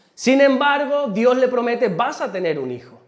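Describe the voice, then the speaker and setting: This man's voice is extremely high-pitched, with an animated tone, ordinary pitch variation and audible room echo. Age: 40s. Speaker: pastor. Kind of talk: sermon.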